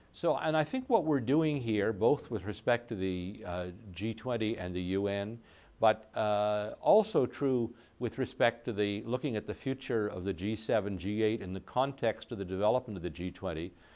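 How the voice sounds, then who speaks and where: A fairly low-pitched male voice at a fairly slow pace, with ordinary pitch variation. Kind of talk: interview answer. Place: studio.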